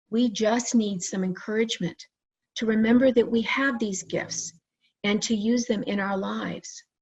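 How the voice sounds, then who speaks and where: This woman has a normal speaking voice, fairly high in pitch, with fairly even intonation. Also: moderate pace. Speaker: licensed psychotherapist and near-death experiencer. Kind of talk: conference presentation.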